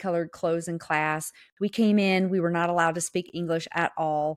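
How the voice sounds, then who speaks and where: A woman with a Southern US accent, fairly low in pitch and fairly even in intonation, at a moderate pace, on a dry, close recording with no echo, very clean with a silent background. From US South. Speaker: podcast co-host. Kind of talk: casual chat, podcast.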